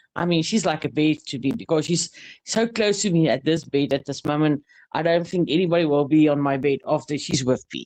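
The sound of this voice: The speaker has a South African accent and talks at a fairly quick pace. The background is quiet. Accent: Afrikaans-accented English.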